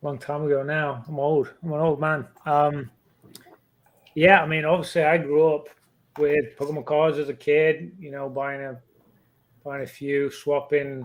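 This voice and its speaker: A man with an English accent speaks at a fairly high pitch in a flat, monotone way. He goes at a fairly slow pace with long, frequent pauses. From England. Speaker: pokemon card collector and youtuber. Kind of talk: podcast interview, casual chat.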